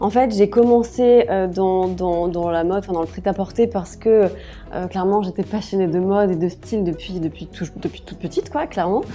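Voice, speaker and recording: Speaking at a moderate pace, a woman uses a medium pitch and ordinary pitch variation. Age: 30s. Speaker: personal stylist and wardrobe coach. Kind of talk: casual interview. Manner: hesitant, many fillers.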